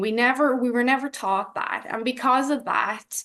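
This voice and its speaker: Against a quiet background, a woman speaks in a Dublin accent. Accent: Dublin Irish. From Ireland, Dublin. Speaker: health coach. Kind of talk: personal testimony in an interview.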